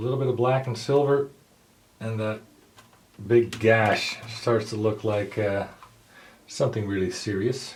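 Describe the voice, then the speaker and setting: Amid noticeable background noise, a man speaks at a fairly slow pace and medium pitch, with fairly even intonation and long, frequent pauses. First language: not English. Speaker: hobbyist tutorial maker. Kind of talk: tutorial. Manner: casual, hesitant with fillers.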